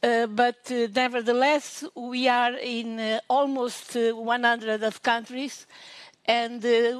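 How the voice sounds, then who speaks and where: With a Portuguese accent, a woman speaks very slowly in a high, monotone voice with flat intonation. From Portugal. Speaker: professor. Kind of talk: conference talk. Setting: online conference. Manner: halting.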